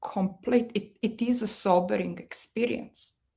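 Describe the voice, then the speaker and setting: A woman speaks with a strong Serbian accent at a medium pitch. Her tone is dark and mellow, with ordinary pitch variation. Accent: thick Serbian. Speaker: marketing executive. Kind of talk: podcast interview.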